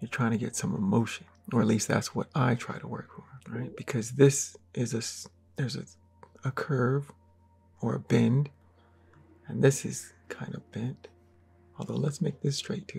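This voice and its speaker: Long, frequent pauses break up a man's medium-pitched speech, which moves at a moderate pace with ordinary pitch variation and big swings in loudness. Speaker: artist and art tutorial creator. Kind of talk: drawing tutorial. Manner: casual, halting; mumbling to himself while drawing.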